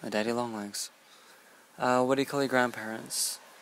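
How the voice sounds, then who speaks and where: With a British Columbian accent, a man talks at a fairly quick pace and medium pitch with ordinary pitch variation. Light background noise sits under a dry sound with no echo. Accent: Canadian (British Columbia). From British Columbia, Canada. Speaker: vlogger. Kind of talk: casual talk to camera, word list reading. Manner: casual, relaxed. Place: home room. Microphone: earbuds.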